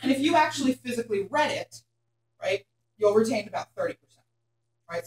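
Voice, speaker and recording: Very fast and energetic, a woman with a Philadelphia accent speaks with very wide pitch swings in a dry, close sound with no echo. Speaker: hair colour educator. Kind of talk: workshop lecture. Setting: classroom with live audience.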